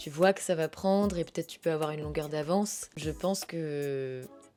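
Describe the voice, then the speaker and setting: With music in the background, a woman speaks at a fairly slow pace in a fairly low pitch. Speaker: voice actor. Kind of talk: interview answer. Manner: casual, conversational.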